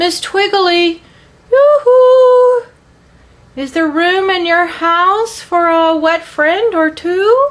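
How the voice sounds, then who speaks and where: Putting on a squeaky character voice, a woman speaks very slowly at an extremely high pitch with lively intonation. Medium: read story. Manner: sighing, mild.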